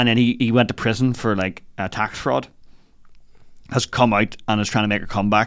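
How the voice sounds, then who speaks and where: On a very clean recording with a silent background, a man with a Northern Irish accent talks at a fairly quick pace in a fairly low pitch with fairly even intonation. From Northern Ireland, Lisburn. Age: 30s. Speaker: comedian. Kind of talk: casual chat. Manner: loud.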